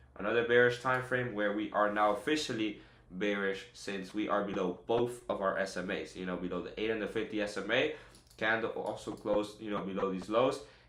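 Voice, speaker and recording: With an energetic, bright and sharp tone, a man of medium pitch talks at a fairly quick pace amid audible room echo. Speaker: day trader streamer. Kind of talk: live trading tutorial. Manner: fast; energetic, casual.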